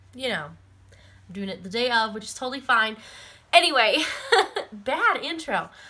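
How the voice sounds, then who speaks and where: There's noticeable noise in the background. Through it, a woman talks. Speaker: family vlogger. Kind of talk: casual chat. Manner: chatty, rambling.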